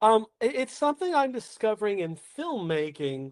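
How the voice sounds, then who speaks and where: Heard with a dry, close sound and no echo, a man talks at a moderate pace with an American accent. His high voice shows very wide pitch swings. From Oklahoma, US. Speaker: playwright and solo performer. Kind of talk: podcast interview. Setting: podcast.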